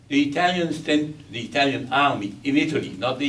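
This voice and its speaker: A fairly high-pitched man's voice at a moderate pace, with ordinary pitch variation, audible room echo and noticeable background noise. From Belgium. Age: 80s+. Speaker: war survivor. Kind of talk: testimony.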